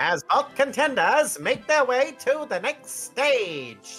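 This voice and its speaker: A female-sounding voice puts on a character, pitched high for a woman. It moves at a fairly slow pace with faint music in the background. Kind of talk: sportscaster announcer style. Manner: announcer delivery.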